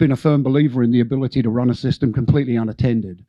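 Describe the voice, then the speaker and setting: Talking at a very fast pace, a man with an Australian accent keeps a medium pitch and ordinary pitch variation. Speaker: conference keynote speaker, data acquisition engineer. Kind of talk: conference presentation. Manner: halting, many fillers and restarts.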